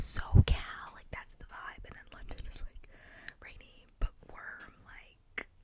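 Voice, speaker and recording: Whispering at a fairly slow pace, the woman is heard with noticeable background noise. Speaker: ASMR creator. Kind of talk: ASMR whisper ramble. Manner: whispered; casual, rambling.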